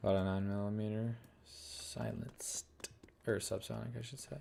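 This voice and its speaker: A mumbling man with a dark, mellow tone, a fairly low pitch and fairly even intonation. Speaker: gaming streamer. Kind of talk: live gameplay commentary. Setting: live stream.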